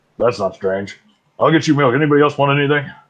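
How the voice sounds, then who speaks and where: A man puts on a gruff character voice, pitched fairly high. He talks at a very fast pace. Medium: actual play.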